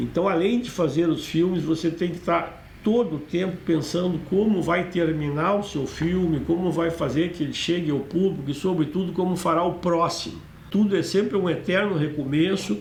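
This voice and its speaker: Audible room echo surrounds a man who speaks at a high pitch and a moderate pace with fairly even intonation. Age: 60s. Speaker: film director. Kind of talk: monologue about own career. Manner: hesitant, with fillers.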